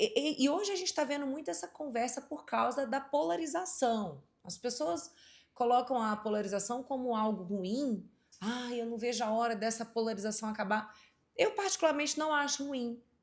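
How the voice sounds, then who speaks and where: Her pitch is high for a woman. She speaks with lively intonation. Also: moderate pace. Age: 30s. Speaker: podcast host. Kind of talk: interview conversation.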